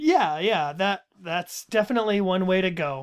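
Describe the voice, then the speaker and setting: A man with a high pitch talks at a moderate pace with ordinary pitch variation, on a very clean recording with a silent background. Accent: American. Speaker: podcast host. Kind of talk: casual chat about a book series.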